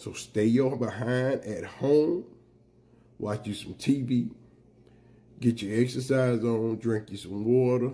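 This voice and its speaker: A man's medium-pitched voice, dark and mellow, at a very slow pace with fairly even intonation and long, frequent pauses. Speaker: political commentator vlogger. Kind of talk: monologue rant to camera. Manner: emphatic, urgent.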